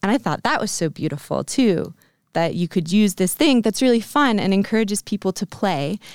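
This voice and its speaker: A woman with an American accent and an unremarkable speaking voice, medium pitch, lively intonation, and a fairly quick pace, on a very clean, dry, close recording with a silent background and no echo. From US, Vermont. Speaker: aerial silks instructor. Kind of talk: casual interview.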